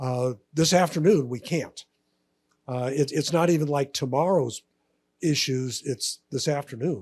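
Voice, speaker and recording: A man with a fairly high pitch, a somewhat breathy quality, and ordinary pitch variation. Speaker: panel moderator. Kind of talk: conference panel interview.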